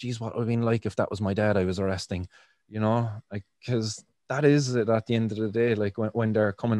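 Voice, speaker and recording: A man with a Cork accent, fairly low in pitch and dark, mellow in tone, at a fairly quick pace with fairly even intonation, in a dry, close sound with no echo against a quiet background. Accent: Irish (Cork). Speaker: podcast host and cannabis activist. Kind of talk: interview, casual chat. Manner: fillers, hesitant, casual.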